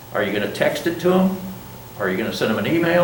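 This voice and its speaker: Through audible room echo and noticeable background noise, a man with a fairly high pitch talks at a very fast pace. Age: 70s. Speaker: college business instructor and Vietnam veteran. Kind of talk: classroom lecture. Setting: classroom with students. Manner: conversational, informal.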